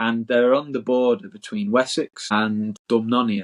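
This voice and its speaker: The intonation here is lively. The speaker talks with a Yorkshire accent. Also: man. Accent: decent Yorkshire. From Isle of Axholme, Lincolnshire, northern England. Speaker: author and historian. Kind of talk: podcast interview.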